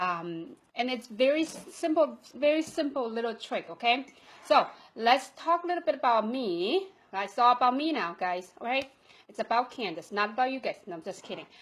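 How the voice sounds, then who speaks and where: A woman talks at a moderate pace in a non-native accent, her pitch high. Her voice makes very wide pitch swings and big swings in loudness. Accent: foreign accent, non-native English. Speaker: online marketing coach. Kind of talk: live video training talk. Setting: Facebook Live broadcast.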